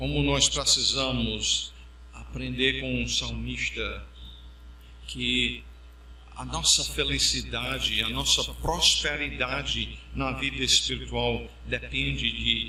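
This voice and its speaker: A man with a very deep, low voice speaks at a very slow pace amid noticeable background noise and audible room echo. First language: English (speaking Portuguese). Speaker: pastor. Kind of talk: sermon.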